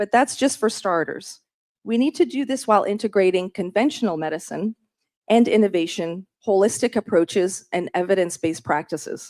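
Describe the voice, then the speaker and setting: A woman with a normal speaking voice, medium pitch, lively intonation and a fairly quick pace on a very clean recording with a silent background. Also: dry, close sound with no echo. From Canada. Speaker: state surgeon general. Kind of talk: formal presentation. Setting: meeting room with audience.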